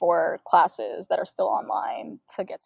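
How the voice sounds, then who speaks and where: A woman speaks at a fairly quick pace with an American accent. The sound is dry and close, with no echo. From St. Louis, Missouri. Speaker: law student. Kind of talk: casual chat.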